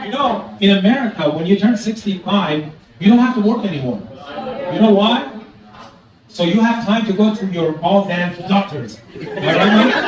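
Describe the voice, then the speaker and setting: A man's high voice at a moderate pace with ordinary pitch variation, amid noticeable background noise and audible room echo. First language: Farsi. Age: 60s. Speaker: stand-up comedian. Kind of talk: stand-up. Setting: stage with audience.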